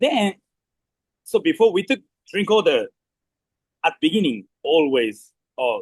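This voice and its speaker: A man with a Japanese accent speaks at a fairly slow pace, leaving long, frequent pauses. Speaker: restaurant manager. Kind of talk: staff meeting briefing. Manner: halting.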